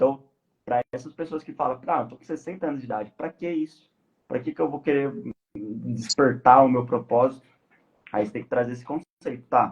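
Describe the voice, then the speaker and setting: Speaking at a moderate pace with a Brazilian accent, a man with a medium-pitched, somewhat breathy voice makes big swings in loudness. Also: ordinary pitch variation. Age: 20s. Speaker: podcast guest on life purpose. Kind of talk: casual live podcast discussion. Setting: live stream.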